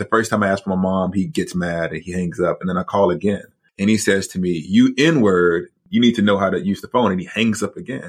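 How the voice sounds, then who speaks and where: In a quiet background, a man with an American accent and an ordinary speaking voice talks at a fairly quick pace and a fairly low pitch with ordinary pitch variation. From US South, Huntsville, Alabama. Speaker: author and theology professor. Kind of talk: interview.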